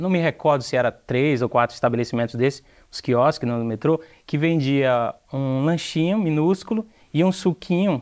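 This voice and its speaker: A man with a fairly high pitch and ordinary pitch variation speaks in an ordinary speaking voice. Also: moderate pace. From Brazil, Ceará (Aracati). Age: young. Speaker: entrepreneur. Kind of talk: TV interview.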